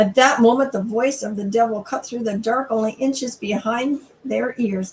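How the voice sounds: A natural reading voice is heard here.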